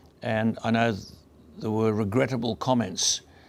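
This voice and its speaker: With an Australian accent, a man talks at a medium pitch. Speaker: radio broadcaster. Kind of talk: award acceptance speech.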